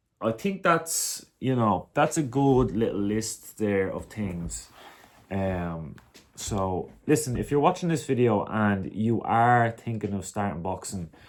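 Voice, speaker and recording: A man with an Irish accent speaks at medium pitch and a very slow pace. His intonation is lively, and the recording is very clean with a silent background. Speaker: vlogger, amateur boxer. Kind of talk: casual monologue.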